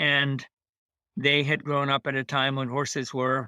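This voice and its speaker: The man's pitch is medium, with monotone, flat intonation. He speaks at a fairly slow pace. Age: 80s+. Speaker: veteran equestrian and author. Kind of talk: interview. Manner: halting.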